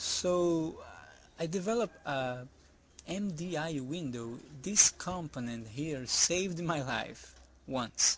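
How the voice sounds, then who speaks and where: Ordinary pitch variation from a man with a non-native accent. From outside the US, non-English-speaking country. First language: not English. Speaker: software developer. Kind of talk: tutorial. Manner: halting, repeats words.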